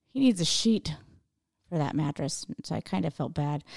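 A woman's somewhat breathy voice, dark and mellow in tone, with very wide pitch swings at a moderate pace, dry and close with no echo, on a very clean recording with a silent background. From Idaho. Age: 40s. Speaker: stand-up comedian. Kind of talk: casual chat.

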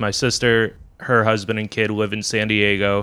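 In a very clean recording with a silent background, a man with an ordinary speaking voice and medium pitch talks at a moderate pace. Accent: American. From Worcester, Massachusetts. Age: 20s. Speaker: stand-up comedian. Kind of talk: casual chat.

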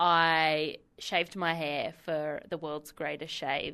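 Against a quiet background, a woman with an Australian accent speaks at a fairly low pitch in a bright, sharp tone. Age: 20s. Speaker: council waste services officer. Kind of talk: interview.

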